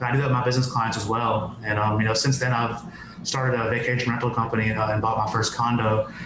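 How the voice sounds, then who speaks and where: Over noticeable background noise, a man talks at a very fast pace in a medium pitch, flat and monotone. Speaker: podcast guest; business owner. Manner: fast talker.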